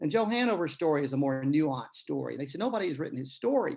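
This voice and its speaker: This man has a fairly high pitch and lively intonation, speaking with a Tennessee accent. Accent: Tennessee Southern drawl. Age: old. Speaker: author and retired lawyer. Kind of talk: interview conversation. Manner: storytelling, many fillers.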